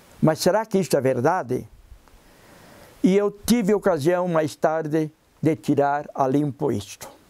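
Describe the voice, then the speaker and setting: A man talks at a fairly slow pace with long, frequent pauses. His fairly high voice has a dark, mellow tone and lively intonation. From southern Brazil, Santa Catarina (Porto União). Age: 70s. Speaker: biologist and researcher, retired professor. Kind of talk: interview.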